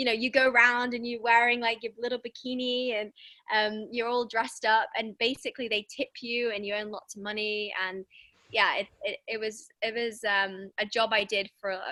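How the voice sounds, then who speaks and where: In an English accent, a woman with a fairly high pitch and a bright, sharp tone speaks at a moderate pace with fairly even intonation, the sound dry and close with no echo. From England. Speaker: women's wellbeing coach. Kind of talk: podcast interview.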